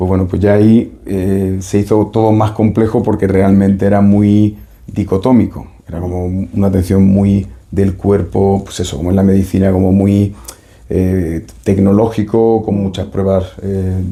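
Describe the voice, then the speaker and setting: A man's fairly low voice, dark and mellow in tone, at a fairly slow pace with monotone, flat intonation. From Spain, Seville. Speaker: doctor and psychotherapist. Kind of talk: interview. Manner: hesitant, many fillers.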